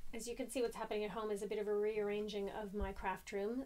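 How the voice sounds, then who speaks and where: A woman with vocal fry talks at a fairly high pitch and a fairly quick pace, keeping her intonation fairly even. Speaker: craft vlogger. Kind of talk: casual chat. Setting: at home craft room.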